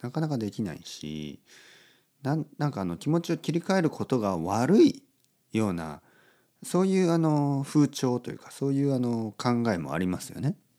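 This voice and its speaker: In a very clean recording with a silent background, a man with a medium pitch and a dark, mellow tone makes very wide pitch swings and big swings in loudness. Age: 40s. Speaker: podcast host teaching Japanese. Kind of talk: casual monologue for language learners. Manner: slow, simple, repetitive phrasing.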